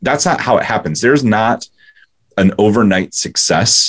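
The speaker is a man with a medium pitch. He goes at a fairly slow pace. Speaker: business coach and podcast host. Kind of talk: interview.

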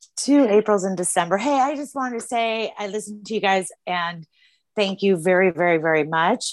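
In a plain, everyday voice, a woman with an American accent speaks at a moderate pace with lively intonation, on a very clean recording with a silent background. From California.

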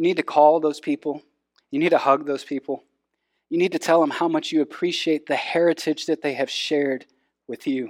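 A man's fairly high-pitched voice with a Texan accent, at a fairly quick pace with monotone, flat intonation, in a dry, close sound with no echo on a very clean recording with a silent background. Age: 30s. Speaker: pastor. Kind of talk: sermon.

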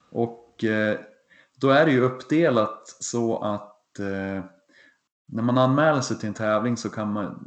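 An ordinary speaking voice from a man, fairly slow in pace, with ordinary pitch variation. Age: 40s. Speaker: triathlon podcast co-host, amateur triathlete. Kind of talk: casual chat.

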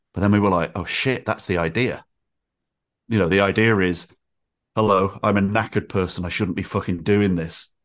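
On a very clean recording with a silent background, a man with a Mancunian accent speaks at a fairly quick pace in a fairly low pitch, with fairly even intonation and long, frequent pauses. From Manchester, northern England. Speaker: writer, podcaster and musician. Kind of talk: casual chat.

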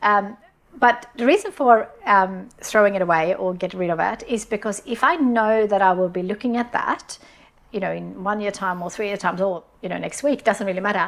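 Woman's medium-pitched voice in a Swedish accent, ordinary pitch variation, moderate pace. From Sweden. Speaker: business founder. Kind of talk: interview. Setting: studio. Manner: halting.

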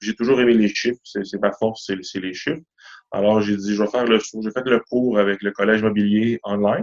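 A man's fairly low voice with a Quebec accent, fairly even intonation and a moderate pace, in a dry, close recording with no echo. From Quebec, east Montreal. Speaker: mortgage broker. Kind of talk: interview.

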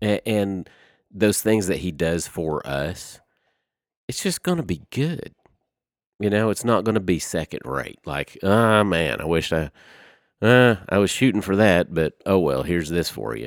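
In a very clean recording with a silent background, a man with a Southern US accent speaks at a very deep, low pitch and a fairly slow pace, his intonation lively. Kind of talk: casual chat, faith discussion.

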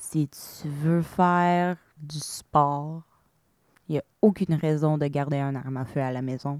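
Delivered at a very slow pace with fairly even intonation in an English accent, the voice has a dry, close sound with no echo on a very clean recording with a silent background. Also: woman, very deep, low pitch for a woman. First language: English (speaking French). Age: 30s. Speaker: shooting survivor. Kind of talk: testimony. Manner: hesitant, frequent fillers.

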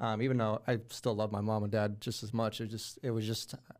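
A man with an American accent and an ordinary speaking voice talks in a fairly low pitch with fairly even intonation. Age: 20s. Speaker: video game streamer and former home sales agent. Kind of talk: casual interview.

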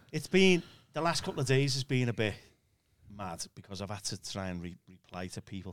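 Speaking with a British accent, a man at a fairly low pitch makes very wide pitch swings. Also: fairly quick pace. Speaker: church minister. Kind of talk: casual conversation.

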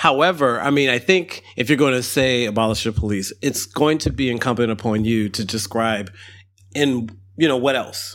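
On a very clean recording with a silent background, a man with an ordinary speaking voice talks at a moderate pace and medium pitch, using ordinary pitch variation. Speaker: archivist. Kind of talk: casual discussion.

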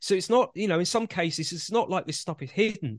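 With a British accent and lively intonation, a man speaks in a dry, close recording with no echo. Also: quiet background. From UK, Greek Cypriot family. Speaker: researcher. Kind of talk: casual chat. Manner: halting.

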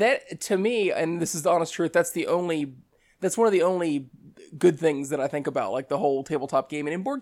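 An unremarkable speaking voice from a man, fairly high in pitch and fairly quick, with lively intonation over a very clean recording and silent background. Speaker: hobby gamer guest. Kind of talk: casual chat.

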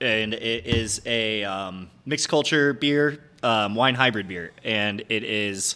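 On a very clean recording with a silent background, a man with an American accent speaks at a very slow pace. His fairly low voice has a bright, sharp tone and ordinary pitch variation. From upstate New York. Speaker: head brewer. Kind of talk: casual interview chat. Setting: on location in a brewery.

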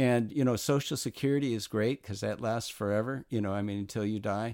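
A man's fairly low voice with an American accent, fairly even intonation and a moderate pace, in a dry, close recording with no echo and a very clean, silent background. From Southern California. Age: 60s. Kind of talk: interview.

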